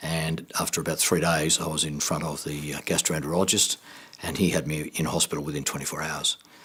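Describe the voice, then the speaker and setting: Speaking with an Australian accent, a man uses a very deep, low pitch. He keeps a fairly quick pace and a monotone, flat intonation. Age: 60s. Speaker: cancer survivor. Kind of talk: testimony.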